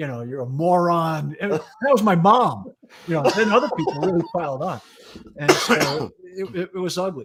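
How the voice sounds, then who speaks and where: Speaking with an American accent, a man swings his pitch very widely. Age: 60s. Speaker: retired fire chief. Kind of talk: casual chat.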